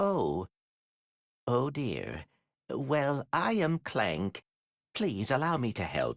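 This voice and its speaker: A man in a put-on character voice at medium pitch, very slow with long, frequent pauses, on a very clean recording with a silent background. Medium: video game. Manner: polite, proper.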